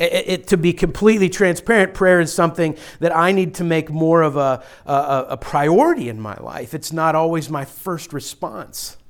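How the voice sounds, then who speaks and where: A man with an American accent, high pitch, ordinary pitch variation and a moderate pace, on a very clean recording with a silent background. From western Pennsylvania, Pittsburgh area. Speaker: pastor. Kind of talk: sermon. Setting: church. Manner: forceful.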